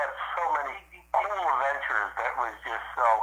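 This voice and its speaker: The room audibly echoes as a man talks fairly quickly. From US East Coast. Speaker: former pro motocross racer. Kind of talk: interview.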